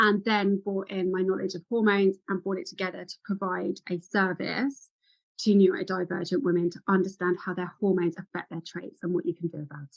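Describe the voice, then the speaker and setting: Speaking at a fairly quick pace, a woman uses a medium pitch and fairly even intonation, with big swings in loudness. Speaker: women's health and ADHD practitioner. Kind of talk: interview. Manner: fast.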